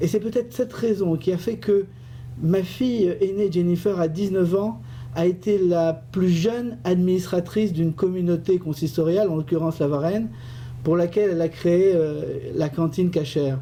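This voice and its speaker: A man's high-pitched voice at a moderate pace, with ordinary pitch variation and very even loudness. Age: 50s. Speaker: business owner and community election candidate. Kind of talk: radio interview. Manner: hesitant, with fillers and repetitions.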